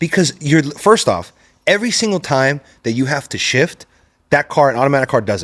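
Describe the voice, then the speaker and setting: With vocal fry and very wide pitch swings, a man talks at a fairly quick pace in a fairly high pitch. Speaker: podcast host. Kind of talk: casual podcast talk.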